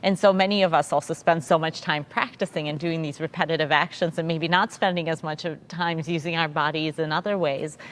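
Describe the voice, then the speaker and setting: Fairly low in pitch, a woman speaks at a fairly quick pace with hardly any pauses and fairly even intonation. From Russia (St Petersburg), moved to US as a child. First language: Russian. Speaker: orchestra conductor. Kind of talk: panel interview. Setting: virtual pre-concert talk.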